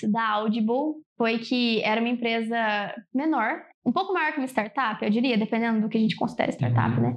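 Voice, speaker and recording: This woman has a normal speaking voice, fairly high in pitch with ordinary pitch variation. She talks at a fairly quick pace. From São Paulo state, Brazil. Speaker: computer science student. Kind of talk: interview.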